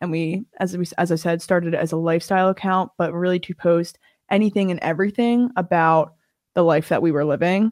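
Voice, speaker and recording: A woman speaks in an unremarkable speaking voice, fairly low in pitch, at a fairly quick pace. Her intonation stays fairly even, and the recording is very clean with a silent background. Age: 20s. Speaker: podcast co-host, university student. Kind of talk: casual chat.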